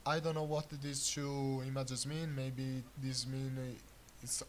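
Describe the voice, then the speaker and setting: Somewhat breathy and fairly high-pitched, a man speaks at a fairly slow pace in a monotone, flat intonation. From Italy. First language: Italian. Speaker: gaming YouTuber. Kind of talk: unscripted game commentary. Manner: hesitant, many filler sounds.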